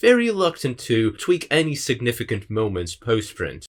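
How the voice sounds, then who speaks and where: A man with a non-native accent, vocal fry and very wide pitch swings, on a very clean recording with a silent background. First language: not English. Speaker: video essayist. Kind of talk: scripted narration.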